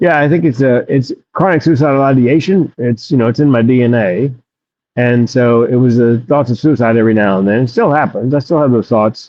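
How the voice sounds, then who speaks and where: This man has a plain, everyday voice, medium in pitch, moving at a fairly quick pace with ordinary pitch variation and very even loudness. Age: 60s. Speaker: comedian and suicide prevention speaker. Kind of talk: interview testimony.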